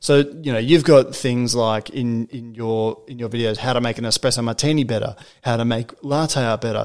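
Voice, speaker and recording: In an Australian accent, a man speaks at a medium pitch with fairly even intonation. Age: 20s. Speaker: podcast host. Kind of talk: casual chat. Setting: guest's apartment.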